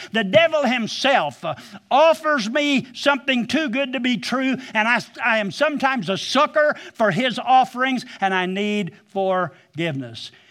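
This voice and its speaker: A man speaks with an Ozarks accent at an extremely high pitch, his tone bright, sharp and animated. His intonation is lively and his pace fairly slow. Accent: Ozarks rural Southern-Midland American. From US Midwest, southwest Missouri Ozarks. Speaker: pastor. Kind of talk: sermon.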